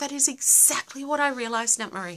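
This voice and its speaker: With an Australian accent, a woman projects a raised voice at a high pitch, her tone bright and sharp and her pace fairly quick, over a quiet background. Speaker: livestream host; live streamer. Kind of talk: casual live Q&A. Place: home room. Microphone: phone near.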